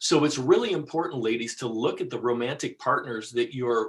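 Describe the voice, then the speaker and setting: Somewhat breathy, a man's medium-pitched voice moves with ordinary pitch variation. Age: 60s. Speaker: financial advisor. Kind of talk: radio talk show interview.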